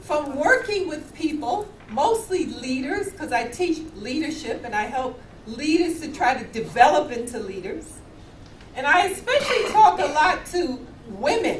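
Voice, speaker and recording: With an American accent and an animated tone, a woman speaks at a moderate pace and a high pitch, her pitch swinging very widely and her loudness shifting a lot, amid noticeable background noise and audible room echo. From US, New York City. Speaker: professor. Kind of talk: keynote talk.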